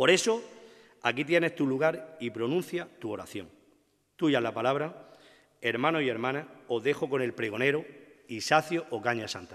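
In a quiet background, a man speaks at a moderate pace. He shows ordinary pitch variation and long, frequent pauses. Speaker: presenter introducing the orator, brotherhood member. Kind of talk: formal introduction, devotional and poetic. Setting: stage with audience. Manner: solemn, emotional, rhetorical. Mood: solemn, devotional, emotive. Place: stage. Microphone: podium.

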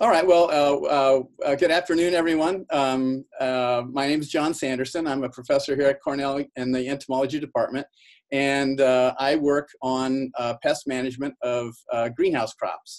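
Against a quiet background, a man's fairly even intonation carries along at a moderate pace. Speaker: university professor presenting. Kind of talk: webinar lecture. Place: office. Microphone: webcam.

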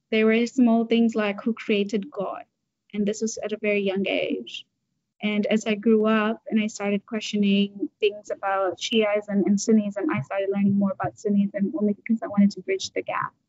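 A woman's somewhat breathy voice, fairly high in pitch, at a moderate pace. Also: fairly even intonation, dry sound with no echo. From Tanzania. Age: 20s. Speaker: activist, nonprofit founder; interviewee. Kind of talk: interview. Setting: video call. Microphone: video call.

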